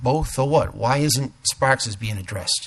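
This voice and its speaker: A man speaks at medium pitch in a somewhat breathy voice with fairly even intonation. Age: 60s. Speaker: resident speaking at town meeting. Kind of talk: public comment at town board meeting. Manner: halting, with many fillers.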